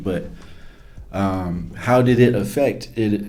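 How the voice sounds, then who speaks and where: Here is a man with a fairly low pitch and an American accent. Audible room echo and noticeable background noise fill the recording. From Arizona, US. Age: 40s. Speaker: addiction recovery storyteller. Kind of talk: interview testimony. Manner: casual, hesitant with fillers.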